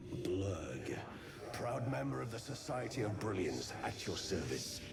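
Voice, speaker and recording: Over loud background noise, a man does a put-on character voice at a fairly low pitch and a fairly slow pace. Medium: solo performance. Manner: courteous, erudite.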